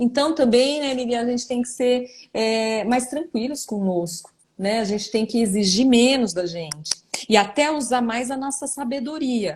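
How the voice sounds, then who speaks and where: A woman speaks at a moderate pace in a high voice. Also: ordinary pitch variation. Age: 40s. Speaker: neuropsychologist. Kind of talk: live online interview answering viewer questions. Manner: hesitant, many fillers.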